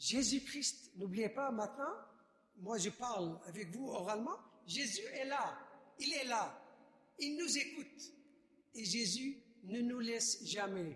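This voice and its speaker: With lively intonation and a bright, sharp tone, a man speaks at an extremely high pitch and a very slow pace, leaving long, frequent pauses. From Iraq. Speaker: refugee witness, subdeacon. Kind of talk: testimony. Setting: church.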